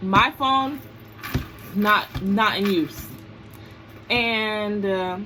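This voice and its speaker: Mumbling in an American accent, the voice has a bright, sharp tone. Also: woman. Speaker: vlogger. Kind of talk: storytime vlog.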